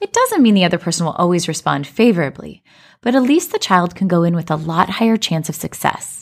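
In a General American accent, the speaker talks at a very fast pace with ordinary pitch variation. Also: woman, fairly low pitch for a woman. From Colorado, US. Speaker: podcast host and life coach. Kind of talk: scripted narration.

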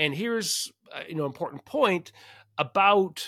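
A man with a Canadian accent talks at a moderate pace in a normal speaking voice, with ordinary pitch variation. The recording is very clean and dry, close with no echo, over a silent background. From Canada. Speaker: podcast host, science fair nonprofit leader. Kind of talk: solo podcast monologue.

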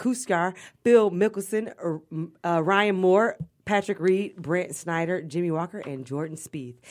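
On a very clean recording with a silent background, a woman uses an unremarkable speaking voice at a medium pitch, with ordinary pitch variation and a fairly slow pace. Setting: radio studio.

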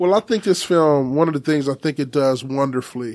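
This is a man speaking. His voice has a fairly high pitch. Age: 40s. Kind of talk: casual chat. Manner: animated, laughs often.

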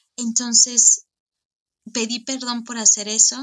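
A woman speaks at a fairly slow pace in a fairly high pitch. Her tone is bright and sharp, her intonation monotone and flat. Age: 30s. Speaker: coaching client sharing testimony. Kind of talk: testimony. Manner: halting, with frequent repetitions.

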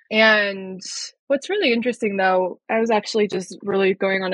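In a normal speaking voice with an American accent, a woman of medium pitch talks at a fairly quick pace with fairly even intonation. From Colorado, US. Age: young. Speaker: yoga therapist. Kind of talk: interview.

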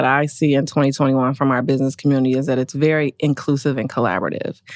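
On a very clean recording with a silent background, a woman with an American accent speaks in a very deep, low voice. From Milwaukee, Wisconsin. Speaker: corporate lawyer. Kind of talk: podcast interview.

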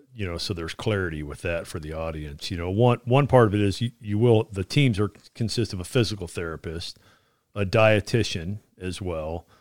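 A man with an ordinary speaking voice talks with ordinary pitch variation. The recording is very clean, with a silent background and a dry, close sound with no echo. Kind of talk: interview about Army fitness. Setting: studio.

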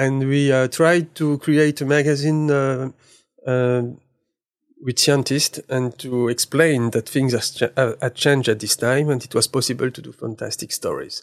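The sound is dry and close, with no echo. A man speaks at a moderate pace in a French accent. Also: medium pitch for a man, fairly even intonation, very clean recording, silent background. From eastern France, near German border. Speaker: magazine director and photographer. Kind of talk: interview. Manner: halting.

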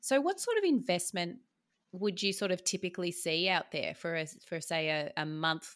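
Here a woman uses a normal speaking voice, fairly low in pitch. Her pace is moderate, with ordinary pitch variation. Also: very clean recording, silent background. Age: 40s. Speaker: podcast host, business profit coach. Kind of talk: scripted podcast intro; interview.

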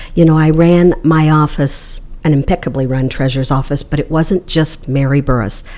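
A woman with an American accent and a very deep, low pitch, at a moderate pace. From Missouri. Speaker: mayoral candidate, former county treasurer. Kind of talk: interview. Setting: library room.

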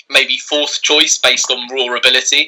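A man with a southern English accent, at a moderate pace. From southern England. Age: 20s. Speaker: author. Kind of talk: interview.

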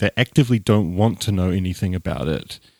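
In a dry, close sound with no echo, a man with a New Zealand accent speaks at a moderate pace. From Dunedin, New Zealand. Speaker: podcast host, atheist. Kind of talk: casual conversational discussion. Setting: remote call from Los Angeles.

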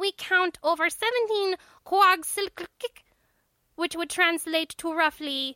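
In a put-on character voice, extremely high and nasal, the speaker delivers lines with a menacing, pompous tone at a fairly slow pace. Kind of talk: comic alien. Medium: read story. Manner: formal, politely menacing, pompous.

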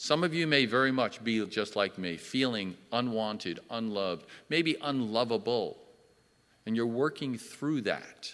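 A man of medium pitch speaks at a fairly slow pace with ordinary pitch variation. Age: 60s. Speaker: church elder and Sunday school teacher. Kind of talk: personal testimony in church. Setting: church service, in person and streamed. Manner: hesitant, with filler words.

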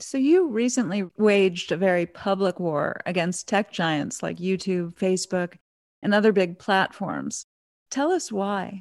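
At a fairly slow pace, a woman speaks in an unremarkable speaking voice of medium pitch with ordinary pitch variation, the sound dry and close with no echo. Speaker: podcast host. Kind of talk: interview, scripted intro.

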